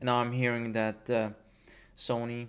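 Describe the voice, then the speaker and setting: A man talks with a non-native accent. His medium pitch stays monotone and flat. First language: not English. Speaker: gaming YouTuber. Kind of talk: casual rant over gameplay. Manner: halting, many fillers and restarts.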